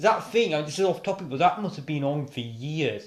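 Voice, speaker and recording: Speaking at a moderate pace, a man uses a British accent. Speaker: YouTuber. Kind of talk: reading aloud with commentary. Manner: halting, many self-corrections; casual, rambling.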